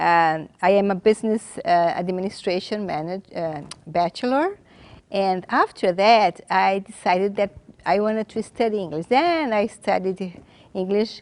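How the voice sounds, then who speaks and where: Speaking at a fairly slow pace, a woman talks with a Brazilian Portuguese accent. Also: medium pitch for a woman, ordinary pitch variation. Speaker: graduate student, English teacher. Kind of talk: interview testimony. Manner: halting.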